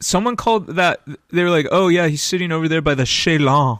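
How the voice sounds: Here a man with a slight Midwestern accent speaks at a fairly quick pace and a high pitch. His pitch varies in an ordinary way and his loudness stays very even. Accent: American with slight Midwestern twang.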